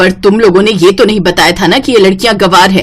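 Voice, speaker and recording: In a put-on character voice, a woman growls at a medium pitch and a very fast pace with fairly even intonation. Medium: cartoon. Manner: haughty, sharp.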